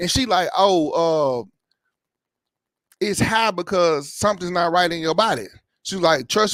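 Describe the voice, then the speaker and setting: Recorded very cleanly against a silent background, a man speaks with a high pitch. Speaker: YouTube reaction vlogger. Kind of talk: casual vlog talk.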